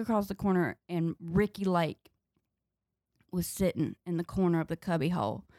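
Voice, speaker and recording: A woman with a Southern US accent speaks at a medium pitch with fairly even intonation, in a very clean recording with a silent background and a dry, close sound with no echo. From North Carolina, US South. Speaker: comedian. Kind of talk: casual chat.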